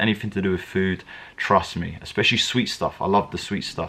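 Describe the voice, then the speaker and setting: A man speaks with a strong British accent. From England. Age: 20s. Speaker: MMA fighter. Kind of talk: casual Q&A vlog. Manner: hesitant, many fillers and repetitions.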